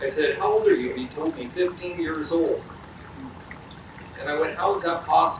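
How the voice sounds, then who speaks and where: A man talks at a moderate pace. Noticeable background noise and audible room echo fill the recording. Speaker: police chief. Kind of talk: ceremony speech with storytelling. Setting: outdoor memorial ceremony. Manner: loud.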